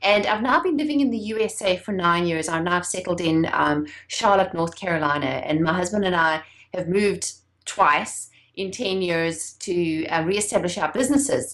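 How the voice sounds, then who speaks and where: A woman's medium-pitched voice with a South African accent and lively intonation, over noticeable background noise. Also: moderate pace. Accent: foreign-sounding in the US, South African. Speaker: entrepreneur and branding expert. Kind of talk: interview.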